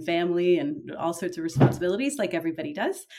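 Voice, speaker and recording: A woman speaks with an ordinary speaking voice, fairly low in pitch. Her intonation is lively and her pace fairly quick. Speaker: novelist. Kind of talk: interview.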